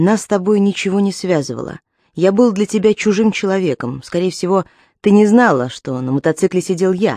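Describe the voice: The background stays quiet during plain reading aloud.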